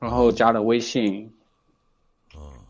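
A man at a medium pitch speaks at a fairly slow pace. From Hunan, China. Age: 20s. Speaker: caller. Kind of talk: casual chat. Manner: halting.

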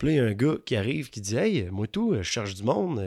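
This man's intonation is lively, captured on a very clean recording with a silent background. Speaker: larp player. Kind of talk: casual chat. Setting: at his home.

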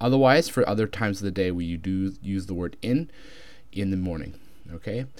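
A man with a Canadian accent speaks at a fairly quick pace in a plain, everyday voice. His pitch is fairly low, with ordinary pitch variation. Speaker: English teacher. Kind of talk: tutorial.

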